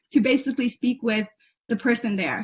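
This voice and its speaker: Pitch moves in an ordinary way. Delivery runs fairly quickly. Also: woman. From US Northeast, Cambridge, Massachusetts. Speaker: Tibetan-American youth program alumnus. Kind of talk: Q&A with an official. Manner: hesitant, with frequent fillers.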